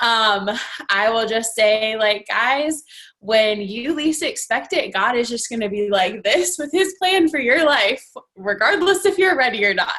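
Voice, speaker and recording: Speaking at a fairly slow pace, a woman with an American accent uses a bright, sharp tone, a fairly high pitch and very wide pitch swings. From Northern Virginia, US. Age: 20s. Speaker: fitness coach. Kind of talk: team call talk.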